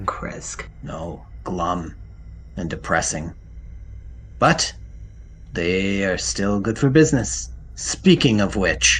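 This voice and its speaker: A man puts on a character voice, pitched very deep and low. He talks very slowly with long, frequent pauses over clear background noise. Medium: actual play. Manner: curt, commanding, terse.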